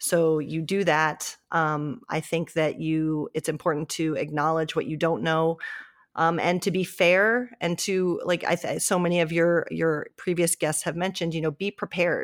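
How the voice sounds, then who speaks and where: A woman's voice with an American accent, a normal speaking voice at a moderate pace with fairly even intonation. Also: fairly low pitch for a woman, very clean recording, silent background. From US Midwest, Columbus, Ohio. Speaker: hockey writer. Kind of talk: interview.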